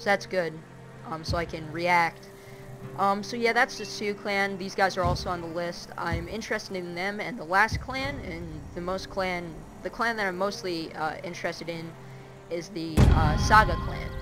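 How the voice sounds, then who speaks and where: Against noticeable background noise and audible room echo, a woman talks at a moderate pace with a fairly low pitch, ordinary pitch variation and big swings in loudness. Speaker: gaming video creator. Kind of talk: gameplay commentary. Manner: hesitant, many filler words.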